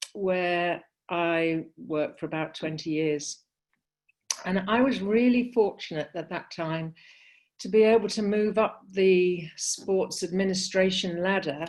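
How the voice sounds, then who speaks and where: The speaker has a British accent. The pace is fairly slow, with ordinary pitch variation. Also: woman, medium pitch for a woman. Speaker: sports consultant. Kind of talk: panel discussion. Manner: hesitant, many fillers.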